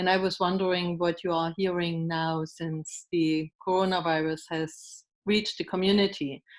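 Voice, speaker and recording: A woman's fairly low, monotone, flat voice with a German accent, at a fairly slow pace against a quiet background. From East Germany. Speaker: German language teacher. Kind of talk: audience question. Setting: video call.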